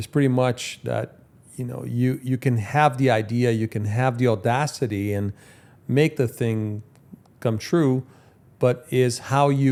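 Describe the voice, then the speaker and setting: Speaking at a fairly slow pace, a man has a dark, mellow tone, medium pitch and ordinary pitch variation. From Brazil. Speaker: podcast host. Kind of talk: interview. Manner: halting, repeats words.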